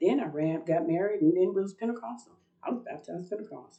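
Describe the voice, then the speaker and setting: Vocal fry runs through a woman's medium-pitched voice as her pitch swings very widely. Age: 60s. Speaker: religious video blogger. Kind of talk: personal testimony monologue. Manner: talkative, rambling.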